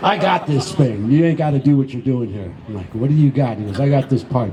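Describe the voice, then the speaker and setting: Over noticeable background noise, a medium-pitched man with an American accent speaks at a fairly quick pace. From Venice, Los Angeles, California. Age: 60s. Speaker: skatepark volunteer and community member. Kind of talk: storytelling speech at an event.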